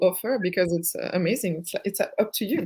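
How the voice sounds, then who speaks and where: This woman has a French accent. Her pitch sits in the medium range. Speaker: therapist. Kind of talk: casual chat. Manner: halting.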